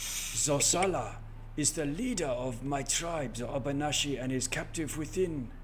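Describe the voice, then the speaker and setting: A man's put-on character voice, raspy and fairly high-pitched, at a moderate pace over clear background noise. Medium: actual play. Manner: solemn, grave.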